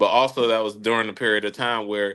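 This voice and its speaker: A man's voice, fairly low in pitch with a bright, sharp tone, delivers monotone, flat intonation against a quiet background. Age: 30s. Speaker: podcast host. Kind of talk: casual chat.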